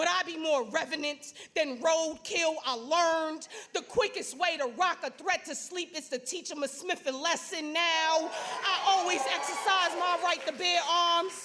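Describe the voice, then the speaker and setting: The voice is raised and projected, with an intense tone. It moves at a fairly slow pace with ordinary pitch variation. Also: woman. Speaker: spoken word poet. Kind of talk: spoken word poetry performance. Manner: intense, forceful.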